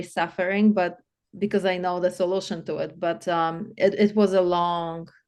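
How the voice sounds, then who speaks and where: With a Polish accent and a medium pitch, a woman talks at a moderate pace with fairly even intonation against a quiet background. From Poland. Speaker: life coach. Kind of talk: interview.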